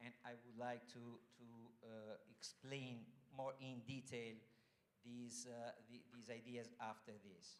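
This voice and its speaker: In an Italian accent, a man at medium pitch speaks very slowly with monotone, flat intonation. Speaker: foundation general manager. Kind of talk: welcome speech. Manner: halting.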